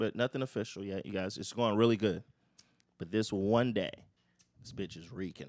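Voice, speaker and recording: In an animated tone, a man with a fairly low voice speaks at a moderate pace with ordinary pitch variation and long, frequent pauses. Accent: American. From Florida. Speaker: stand-up comedian. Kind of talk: casual chat. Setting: studio.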